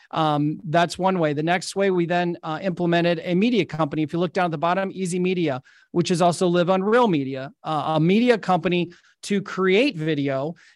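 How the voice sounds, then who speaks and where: A man with a high pitch, ordinary pitch variation and a fairly quick pace, over a quiet background. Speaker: real estate agent and marketing coach. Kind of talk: webinar presentation. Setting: video webinar. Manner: fast.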